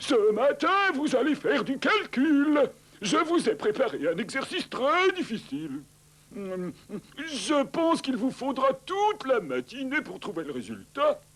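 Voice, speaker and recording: Using a cartoonish character voice at an extremely high pitch, a man talks at a fairly slow pace. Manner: authoritative.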